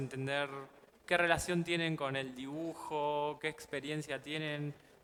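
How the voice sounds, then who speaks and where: With an Argentine accent, a man speaks at a moderate pace. His pitch is fairly high, and his intonation fairly even. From Argentina. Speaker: illustrator and comics artist teaching a workshop. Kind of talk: workshop teaching. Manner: halting, with fillers.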